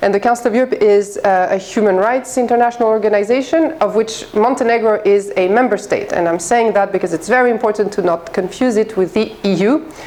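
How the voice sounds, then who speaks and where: This woman talks very fast, with ordinary pitch variation, amid noticeable background noise. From France and Greece. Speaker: head of an international human rights office. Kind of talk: guest lecture.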